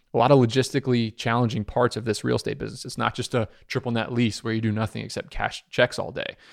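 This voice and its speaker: With vocal fry and a medium pitch, a man rushes along at a very fast pace with hardly any pauses, the sound dry and close with no echo. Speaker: self-storage entrepreneur. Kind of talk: interview conversation.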